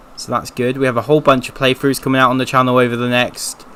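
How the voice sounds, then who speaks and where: With a British accent, a man speaks at medium pitch and a very fast pace. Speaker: gaming streamer. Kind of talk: casual chat. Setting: live stream. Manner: monotone.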